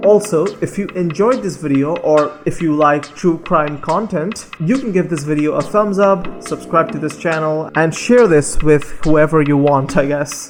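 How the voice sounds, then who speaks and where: Someone speaks with a non-native accent and hardly any pauses. Music plays in the background. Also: moderate pace. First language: not English. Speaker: true crime narrator. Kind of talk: scripted narration; casual outro.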